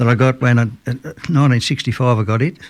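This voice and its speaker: Speaking at a fairly quick pace, a man keeps a medium pitch and fairly even intonation. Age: 70s. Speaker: musician. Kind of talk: radio interview. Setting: radio studio. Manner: casual.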